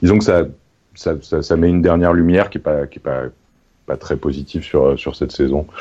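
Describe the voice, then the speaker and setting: A man is speaking. His pace is moderate. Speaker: sports journalist. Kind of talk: casual chat. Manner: halting, repeats words.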